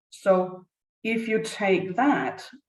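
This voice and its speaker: She speaks with a Danish accent at a medium pitch. Her voice is somewhat breathy. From Denmark. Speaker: business leadership consultant. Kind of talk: conference presentation.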